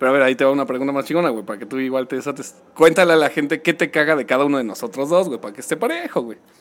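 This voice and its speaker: A man with a Mexican accent talks at a very fast pace with hardly any pauses, at a fairly high pitch with ordinary pitch variation. His loudness swings widely, and noticeable background noise is present. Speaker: podcast co-host. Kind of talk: casual chat.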